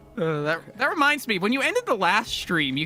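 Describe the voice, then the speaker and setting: Against noticeable background noise, a man's squeaky, raised, projected voice sits at a high pitch with very wide pitch swings and a fairly quick pace. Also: dry, close sound with no echo. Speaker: game vehicle designer. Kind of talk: casual chat.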